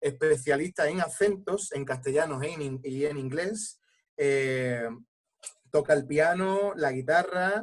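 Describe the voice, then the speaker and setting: A man talks at a very slow pace with a fairly high pitch. His pitch variation is ordinary. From Andalusia, Coín (Málaga). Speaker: actor. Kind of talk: panel discussion. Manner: halting.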